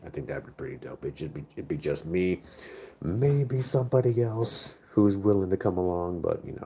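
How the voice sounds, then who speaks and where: A man's fairly low, dark, mellow voice with an American accent, somewhat breathy, with lively intonation, big swings in loudness and a moderate pace. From United States. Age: 30s. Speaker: streamer. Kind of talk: casual chat. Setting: live stream.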